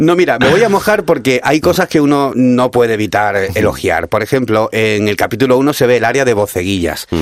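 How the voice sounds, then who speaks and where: An animated tone at a fairly quick pace with hardly any pauses, very even loudness and noticeable background noise. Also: man, medium pitch for a man, lively intonation. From Cádiz, Andalusia. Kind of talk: casual radio interview.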